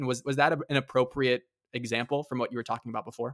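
In a very clean recording with a silent background and a dry, close sound with no echo, a man speaks very fast at a medium pitch with fairly even intonation. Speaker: podcast host. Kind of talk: interview.

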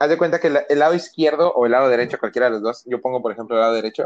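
A man talks at a very fast pace in a medium pitch with ordinary pitch variation. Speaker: podcast co-host. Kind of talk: casual chat.

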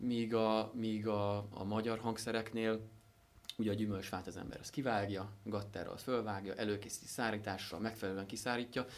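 Noticeable background noise is audible. A man talks over it. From Hungary, Szentendre area. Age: young. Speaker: instrument maker. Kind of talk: interview. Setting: workshop. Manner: halting, many fillers and repetitions.

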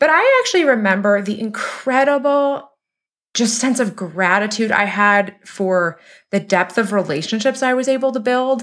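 A woman uses a normal speaking voice at a moderate pace. Her loudness stays very even, with ordinary pitch variation. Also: very clean recording, silent background. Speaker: podcast host. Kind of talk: podcast interview.

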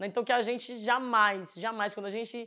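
Bright, sharp tone from a woman, fairly high in pitch, with ordinary pitch variation and a moderate pace on a very clean recording with a silent background. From Pernambuco, Brazil (Northeast). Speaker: housing movement activist. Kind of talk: casual monologue to camera.

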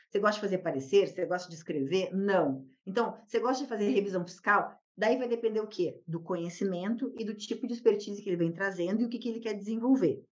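This is a woman with a medium pitch. She speaks at a very fast pace. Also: ordinary pitch variation. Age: 40s. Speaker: tax lawyer and law professor. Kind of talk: podcast interview.

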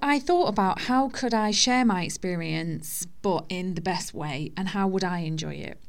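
With audible room echo in the background, a woman at medium pitch talks at a moderate pace with lively intonation. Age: 30s. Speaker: podcast host sharing divorce experience. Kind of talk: personal monologue. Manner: informal, conversational.

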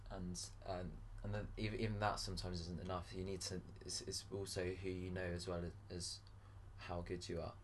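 The voice is somewhat breathy and moves at a moderate pace. There is audible echo in the room. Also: man. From grew up in Paris, English parents. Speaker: singer-songwriter. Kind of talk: casual interview. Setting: in a friend's flat.

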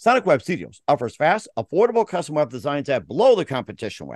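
Talking at a very fast pace with lively intonation, a man is heard in a dry, close sound with no echo over a quiet background. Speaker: podcast host. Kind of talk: interview, with sponsor reads.

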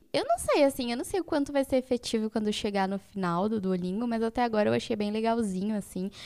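At a very fast pace with hardly any pauses, a woman speaks in a fairly high pitch with a dark, mellow tone and ordinary pitch variation. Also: dry, close sound with no echo. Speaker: podcast co-host, physics student. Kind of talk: casual chat.

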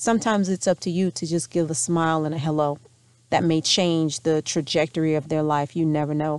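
A woman's very deep, low voice at a fairly quick pace, with fairly even intonation. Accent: American. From US South, North Louisiana. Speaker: podcast host, entrepreneur. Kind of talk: solo podcast monologue.

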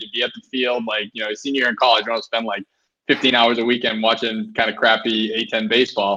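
A man speaks very fast. His voice sits at medium pitch. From Boston. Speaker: sports journalist. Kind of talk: interview. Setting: home bathroom. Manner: quiet.

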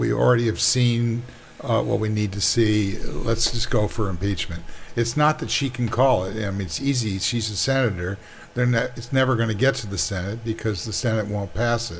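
Over noticeable background noise, the speaker goes at a moderate pace with ordinary pitch variation. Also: man, fairly low pitch for a man. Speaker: show host. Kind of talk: casual panel discussion. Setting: video call recorded for streaming.

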